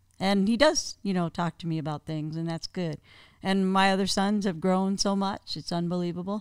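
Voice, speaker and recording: A woman talks at a moderate pace with an unremarkable speaking voice at medium pitch. The recording is very clean, with a silent background, and sounds dry and close with no echo. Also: ordinary pitch variation. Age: 50s. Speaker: guest, host's aunt. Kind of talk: casual chat.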